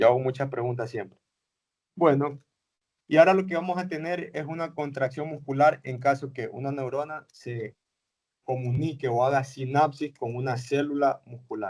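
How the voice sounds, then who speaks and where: A man with an ordinary speaking voice talks at a moderate pace, his fairly high pitch showing ordinary variation and his loudness swinging widely. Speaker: teacher. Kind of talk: lecture.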